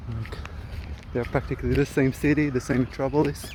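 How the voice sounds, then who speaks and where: With an Israeli accent, a man talks at a fairly quick pace over noticeable background noise. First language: Hebrew. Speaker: vlogger. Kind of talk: casual vlog monologue. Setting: outdoors, walking through a park. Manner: hesitant, many fillers.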